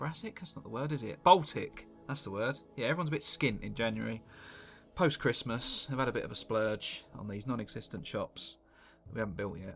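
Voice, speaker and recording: Over music in the background, a man with a British accent and medium pitch talks at a fairly quick pace, with lively intonation and big swings in loudness. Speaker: gaming commentator. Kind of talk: live gameplay commentary. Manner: casual, sweary.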